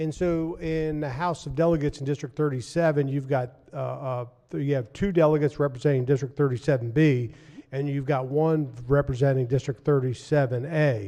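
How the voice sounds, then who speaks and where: Dark, mellow tone at a fairly quick pace, with fairly even intonation. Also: man, fairly high pitch for a man. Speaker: state senator. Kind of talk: legislative floor debate. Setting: legislative chamber.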